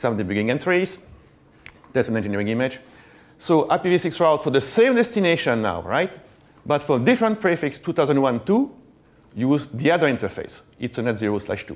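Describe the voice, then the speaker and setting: With a French accent, a man speaks at a moderate pace, with very wide pitch swings and long, frequent pauses. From Belgium. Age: middle-aged. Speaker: network engineer, conference speaker; conference speaker. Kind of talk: conference talk. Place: stage. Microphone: lapel.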